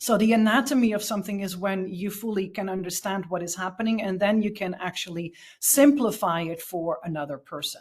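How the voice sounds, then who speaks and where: A woman speaks in a Dutch accent at a medium pitch, somewhat breathy. She leaves hardly any pauses. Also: ordinary pitch variation, fairly quick pace. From Portugal, rural, Dutch family. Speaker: spiritual leadership guide. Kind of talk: podcast interview. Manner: halting, frequent fillers.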